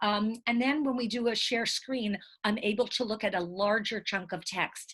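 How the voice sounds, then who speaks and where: At a moderate pace, a woman talks in a plain, everyday voice. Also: fairly high pitch for a woman. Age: 60s. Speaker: writer and college teacher. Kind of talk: interview monologue.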